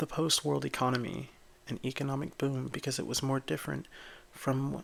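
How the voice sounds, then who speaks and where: The man is soft-spoken. His pace is moderate. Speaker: ASMR creator. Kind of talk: ASMR bedtime book reading.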